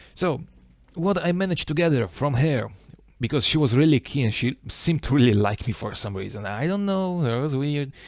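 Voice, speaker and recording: On a very clean recording with a silent background, a man with an Italian accent speaks at a fairly quick pace with a fairly high pitch and lively intonation. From Italy. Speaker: small YouTuber. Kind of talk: casual monologue vlog. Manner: halting, many fillers.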